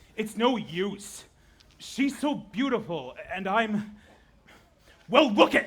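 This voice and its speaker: In a put-on, gruff character voice pitched high for a man, a man talks at a very slow pace with long, frequent pauses. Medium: stage play. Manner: gruff, explosive.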